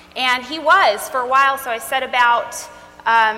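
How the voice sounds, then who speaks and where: Noticeable background noise accompanies a woman whose voice is high-pitched. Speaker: speaker on trauma. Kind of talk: talk to a live audience. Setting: stage with audience.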